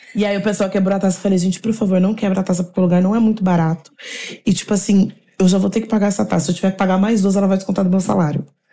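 Speaking very fast, a woman keeps a monotone, flat intonation and very even loudness. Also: medium pitch for a woman. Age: 20s. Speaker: beauty content creator. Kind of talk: casual chat.

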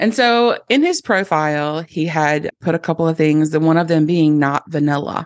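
A woman with a plain, everyday voice speaks at a moderate pace with lively intonation. The background is quiet, and the sound is dry and close with no echo. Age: 40s. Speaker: podcast host. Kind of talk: personal storytelling monologue. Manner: casual, laughing often.

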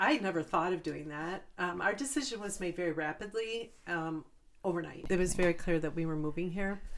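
A plain, everyday voice speaks at a fairly quick pace. Its pitch variation is ordinary. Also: woman, fairly low pitch for a woman. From Chicago suburbs, US. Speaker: small business owner. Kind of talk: casual chat.

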